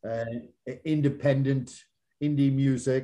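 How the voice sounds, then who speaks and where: The man's voice has a medium pitch and a dark, mellow tone. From Canada. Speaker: co-host. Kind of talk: casual interview chat.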